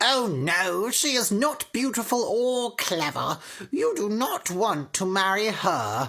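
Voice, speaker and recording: A woman uses a put-on character voice with very wide pitch swings and very even loudness, speaking at a fairly slow pace. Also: fairly high pitch for a woman. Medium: read story. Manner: harsh, domineering.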